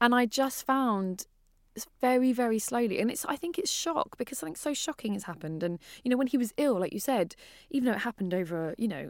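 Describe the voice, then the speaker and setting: A woman speaks fairly quickly, her pitch swinging very widely. The recording is very clean and dry, close with no echo and a silent background. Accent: British. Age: 30s. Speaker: podcast host. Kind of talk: casual chat.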